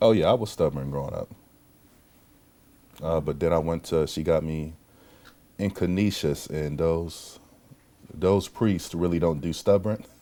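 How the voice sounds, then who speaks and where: A man speaks fairly slowly in a very deep, low voice with ordinary pitch variation. He leaves long, frequent pauses. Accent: American. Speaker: interview guest, victim's son. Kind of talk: TV interview. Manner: halting, many fillers.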